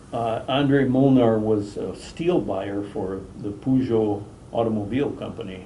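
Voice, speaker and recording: Over noticeable background noise and audible room echo, a man speaks at a fairly slow pace and medium pitch with ordinary pitch variation. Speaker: fishing lure company president. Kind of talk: interview.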